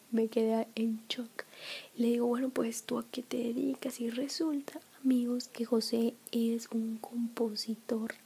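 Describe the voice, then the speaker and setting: Soft-spoken, a woman talks at a very slow pace with fairly even intonation. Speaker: ASMR creator. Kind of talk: soft spoken casual vlog chat. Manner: soft-spoken close-mic ASMR voice. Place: home room. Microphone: studio mic.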